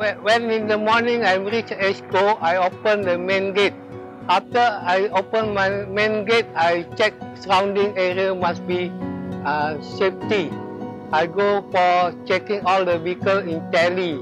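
Over clear music in the background, a man with a high pitch speaks at a fairly slow pace, the sound dry with no echo. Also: ordinary pitch variation. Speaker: security guard; retired police officer. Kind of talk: interview answer. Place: garden. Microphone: lapel.

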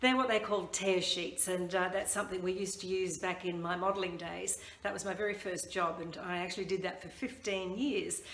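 A woman's voice with ordinary pitch variation, audible room echo and light background noise. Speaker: branding coach. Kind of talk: tutorial. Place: home room. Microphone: phone near.

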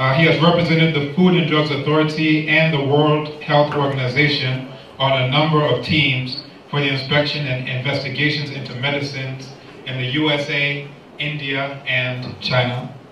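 Delivered at a moderate pace in a monotone, flat intonation, the speech carries light background noise and audible room echo. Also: man, fairly high pitch for a man. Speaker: seminar series moderator. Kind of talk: event moderation. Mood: light, humorous. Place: hall.

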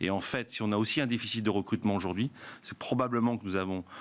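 This man's voice sits fairly low. His pitch varies in an ordinary way. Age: 50s. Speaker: hospitality trade union leader; guest. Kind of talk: panel debate. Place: studio. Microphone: studio mic.

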